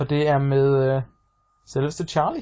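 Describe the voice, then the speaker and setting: A man speaks in a flat monotone at a fairly slow pace. His voice is fairly high-pitched, dark and mellow, and somewhat breathy. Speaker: podcast co-host. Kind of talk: casual chat.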